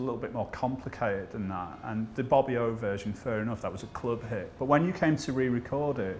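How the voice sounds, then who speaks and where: Amid noticeable background noise, a man speaks at a fairly quick pace and medium pitch with ordinary pitch variation. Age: 40s. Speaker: music journalist. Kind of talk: interview.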